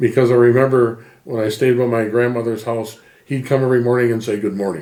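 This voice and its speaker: A man's medium-pitched voice with a dark, mellow tone, fairly even intonation and a fairly quick pace. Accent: American. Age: 70s. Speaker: interviewee, emigrant family member. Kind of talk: interview.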